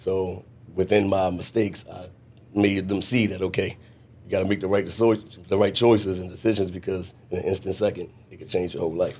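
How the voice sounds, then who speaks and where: Very deep and low in pitch, a man speaks at a fairly quick pace in a dark, mellow tone, his intonation monotone and flat while his loudness swings widely. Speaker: mentor, former prisoner. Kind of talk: podcast interview. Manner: tends to rush.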